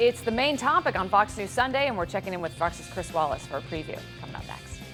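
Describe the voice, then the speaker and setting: Music sounds in the background. A woman speaks very fast. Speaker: news anchor. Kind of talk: TV news anchor read.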